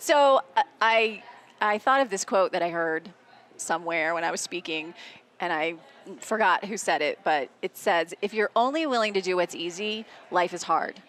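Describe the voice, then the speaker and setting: A woman with an ordinary speaking voice at medium pitch, moderate in pace, with lively intonation. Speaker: podcast co-host. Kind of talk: casual chat.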